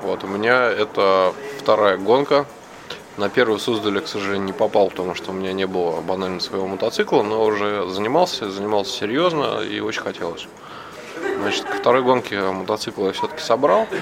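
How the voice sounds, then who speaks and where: Noticeable background noise runs under the voice. The pitch moves up and down in an ordinary way. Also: man, fairly low pitch for a man, fairly quick pace. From Moscow, Russia. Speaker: amateur motorcycle rally-raid racer. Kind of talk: interview.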